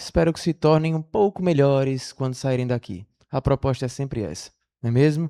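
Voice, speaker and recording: A man talks at a fairly quick pace in a plain, everyday voice with ordinary pitch variation. The sound is dry and close, with no echo. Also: quiet background. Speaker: spiritist lecturer. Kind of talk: lecture. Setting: stage with audience.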